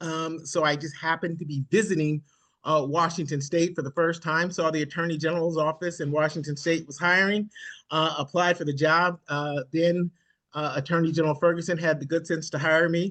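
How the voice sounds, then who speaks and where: Against a quiet background, a man with an American accent speaks at a fairly quick pace, his bright, sharp tone held in a monotone, flat intonation. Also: fairly high pitch for a man. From Nebraska, US Midwest. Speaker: government transportation official, former lawyer. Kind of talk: virtual meeting presentation. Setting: video call. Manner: fast.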